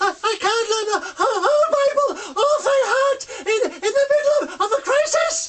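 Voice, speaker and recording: This is a put-on character voice at an extremely high pitch. It moves along at a moderate pace. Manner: nervous, stammering.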